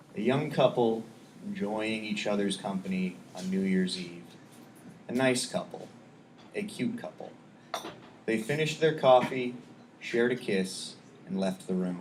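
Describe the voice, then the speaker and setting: A man speaks quietly at a fairly slow pace and medium pitch, with ordinary pitch variation, long, frequent pauses and audible room echo. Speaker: poet. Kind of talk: poetry reading; casual chat. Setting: stage with audience. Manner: quiet indoor voice; halting.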